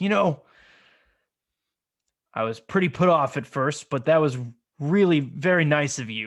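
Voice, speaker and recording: A man puts on a character voice at a fairly high pitch. He keeps a moderate pace, with long, frequent pauses. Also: very clean recording, silent background. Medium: actual play. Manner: gruff, blunt.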